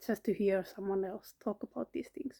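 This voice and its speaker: A woman with a Finnish accent speaks in a dark, mellow tone, the sound dry and close with no echo. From Finland. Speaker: vlogger, cancer patient. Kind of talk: personal vlog monologue. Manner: halting, many fillers.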